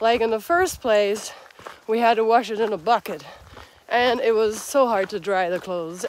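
Dry sound with no echo, a woman at a moderate pace over light background noise. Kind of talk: casual vlog chat. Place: open country. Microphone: phone near.

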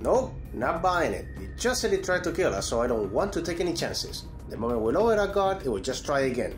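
Putting on a gruff character voice, a man rattles along at a fairly quick pace with hardly any pauses over clear background noise. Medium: machinima. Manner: gruff, annoyed.

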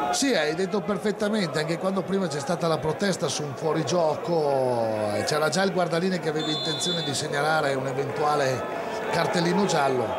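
Fairly quick speech over loud background noise. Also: man. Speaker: sports commentator. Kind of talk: live football commentary. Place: stadium.

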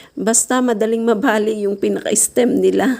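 A woman speaks at medium pitch with ordinary pitch variation. Noticeable background noise is present. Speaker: gardening vlogger. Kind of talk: casual vlog tutorial. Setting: home garden.

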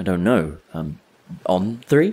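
A woman uses a put-on character voice with an extremely low pitch and a dark, mellow tone with a slightly husky edge. She speaks slowly, with big pitch swings.

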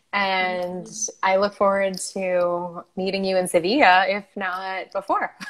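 A woman's cheerful, medium-pitched voice in an American accent, very slow and monotone with flat intonation. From United States. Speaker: online show host and entrepreneur; online show host. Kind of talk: casual interview chat. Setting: live video call stream. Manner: cheerful, laughs often. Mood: friendly, cheerful. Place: home room. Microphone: earbuds.

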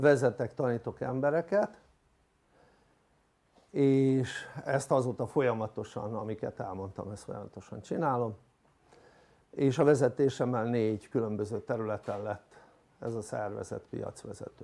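Pausing long and often, a man with a dark, mellow tone speaks at a fairly slow pace with ordinary pitch variation. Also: big swings in loudness. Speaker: coach giving a talk. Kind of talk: lecture. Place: hall. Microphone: lapel.

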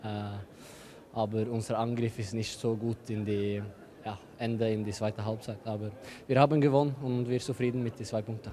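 Medium-pitched male speech in a flat monotone at a moderate pace, with light background noise. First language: not German (speaking German). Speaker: professional handball player; guest. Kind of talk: post-match interview. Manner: halting; calm. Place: hall. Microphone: handheld.

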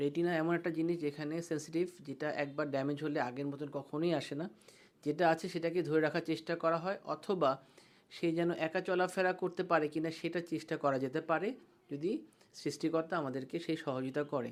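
In an ordinary speaking voice, a man with a fairly high pitch speaks with fairly even intonation. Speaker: eye doctor. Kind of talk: patient education talk.

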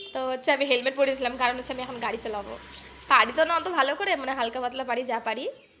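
A woman raises and projects her high-pitched voice with ordinary pitch variation. Background noise is noticeable. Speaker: vlogger. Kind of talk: casual vlog narration.

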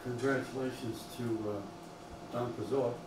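A man speaks at medium pitch with fairly even intonation. Background noise is clearly heard. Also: fairly slow pace.

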